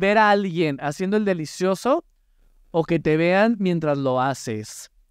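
A man speaks at a high pitch and a fairly slow pace, his pitch swinging very widely in an animated tone. The background is quiet, and the sound is dry with no echo. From Mexico. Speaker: podcast host. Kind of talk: casual chat. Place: studio. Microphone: studio mic.

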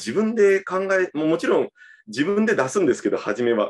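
With a quiet background, a man speaks fairly quickly, his pitch swinging very widely. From Japan, Kyushu (Fukuoka); Kyushu, Japan. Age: 30s. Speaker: politician; election guest. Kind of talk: casual conversation. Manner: halting. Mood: reflective, earnest. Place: home room. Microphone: video call.

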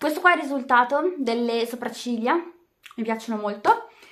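Over a quiet background, a woman speaks fairly slowly in a fairly high voice with lively intonation. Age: just turned 18 (high school final year). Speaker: beauty vlogger. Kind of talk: makeup tutorial vlog. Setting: at home in bedroom. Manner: casual, chatty. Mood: relaxed, cheerful. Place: home room. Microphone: webcam.

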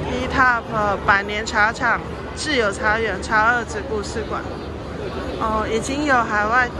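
Music plays in the background as a woman speaks at a very slow pace. The sound is dry with no echo. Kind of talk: casual vlog commentary. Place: hall. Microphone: phone near.

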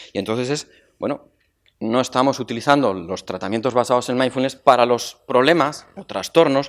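At a fairly quick pace, a man talks with ordinary pitch variation against a quiet background. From Zaragoza, Spain; Spain. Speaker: university professor, former dean, moderator; university professor, moderator. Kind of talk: conference talk. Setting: conference stage with audience. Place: hall. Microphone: podium.

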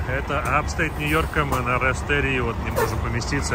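A man speaks at a fairly quick pace, with audible room echo and noticeable background noise throughout. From Russia, Togliatti. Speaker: truck driver vlogger. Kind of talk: casual vlog narration. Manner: animated.

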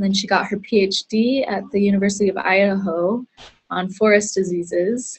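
Somewhat breathy, a woman's speech holds a fairly even intonation. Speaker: webinar host. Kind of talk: speaker introduction. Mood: friendly, smiling. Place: office. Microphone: earbuds.

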